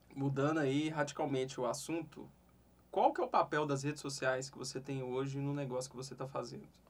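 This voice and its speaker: This man talks at a fairly quick pace with a fairly high pitch and flat, monotone intonation. His loudness swings widely. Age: 30s. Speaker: digital marketing podcast host. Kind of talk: interview. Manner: casual.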